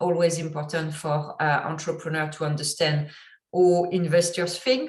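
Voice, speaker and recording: A woman with a strong French accent speaks at a moderate pace, her pitch fairly low and her intonation fairly even. Her voice is somewhat breathy, and the room echo is audible. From French-speaking country, immigrant. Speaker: entrepreneur and investor teaching online course. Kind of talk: online course lecture. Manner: halting with many fillers.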